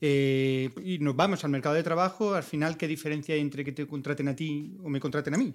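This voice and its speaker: Speaking with a fairly high pitch, this man holds a moderate pace and ordinary pitch variation. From Valencia, Spain. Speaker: career coach and trainer. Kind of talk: interview. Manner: halting, many fillers and repetitions.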